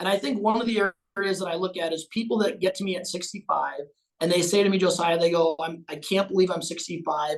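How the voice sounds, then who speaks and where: A man talks at a very fast pace. His pitch is high and his intonation fairly even. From Minnesota, US. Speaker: financial advisor. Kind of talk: podcast interview.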